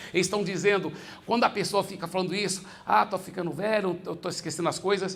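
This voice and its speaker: A man speaks in an animated tone at a high pitch. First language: English (speaking Portuguese). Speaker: pastor. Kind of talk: sermon.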